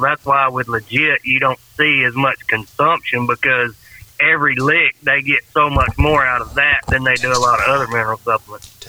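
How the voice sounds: Speaking with a Southern accent, a man talks at a moderate pace and a medium pitch. His intonation is monotone and flat, with noticeable background noise behind him.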